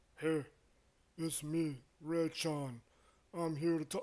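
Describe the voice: Using a put-on character voice, a man talks very slowly at a fairly high pitch with monotone, flat intonation.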